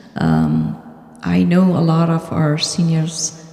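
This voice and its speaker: Background noise is noticeable here. Through it, a woman talks. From Afghanistan. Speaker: board candidate, financial analyst. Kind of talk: candidate speech at community meeting.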